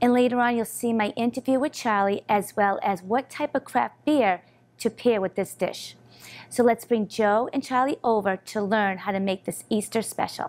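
At a moderate pace, a woman speaks in an American accent with ordinary pitch variation. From Boston. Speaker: cooking show host and interviewer. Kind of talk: show hosting and interviews. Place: studio.

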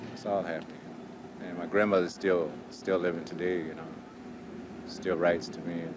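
Noticeable background noise runs under the speech. The pace is moderate, and the sound is dry with no echo. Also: man. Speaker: prison inmate. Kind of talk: interview testimony. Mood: calm, reflective. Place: open country.

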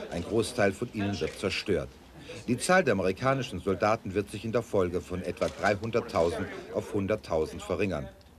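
A man talks at a fairly quick pace in a fairly low pitch. His pitch varies in an ordinary way, and background noise is noticeable. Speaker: news correspondent reporting. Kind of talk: television news report voiceover.

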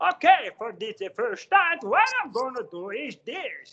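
A cartoonish character voice, high in pitch with very wide pitch swings, at a fairly slow pace. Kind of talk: cartoon voice.

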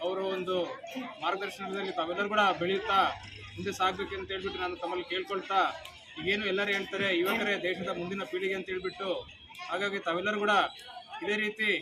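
Against noticeable background noise, a man raises and projects his high-pitched voice, his intonation monotone and flat. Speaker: local political leader. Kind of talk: public speech. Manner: halting.

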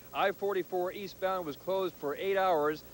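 A man with a high pitch and ordinary pitch variation, at a fairly slow pace, in a dry sound with no echo and light background noise. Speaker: TV field reporter. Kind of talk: live news report. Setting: outdoors. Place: street. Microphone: handheld.

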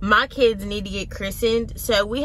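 Light background noise sits under a dry sound with no echo. A woman talks at a fairly slow pace. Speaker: mom vlogger. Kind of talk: casual vlog chat. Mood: earnest, reflective. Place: car.

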